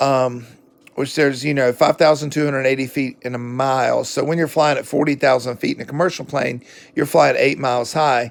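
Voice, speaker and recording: With a fairly quick pace, a man speaks at a fairly high pitch in a monotone, flat intonation. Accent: Southern US. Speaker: book reviewer. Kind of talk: casual book review monologue. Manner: casual, with fillers and hesitations.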